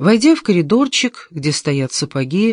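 The text is read aloud in a natural voice.

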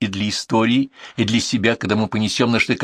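The plain reading aloud keeps a fairly even intonation.

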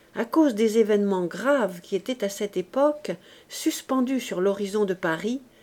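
The text is read aloud plainly. Pitch moves in an ordinary way.

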